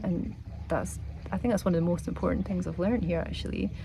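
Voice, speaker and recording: A woman speaks in a Scottish accent, with audible room echo around her voice. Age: 40s. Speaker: travel vlogger. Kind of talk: vlog to camera. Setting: outdoors by the sea. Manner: relaxed, reflective.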